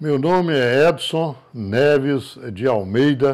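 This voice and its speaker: A man speaks very slowly at a medium pitch. His pitch varies in an ordinary way. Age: 70s. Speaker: former mayor. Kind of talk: interview.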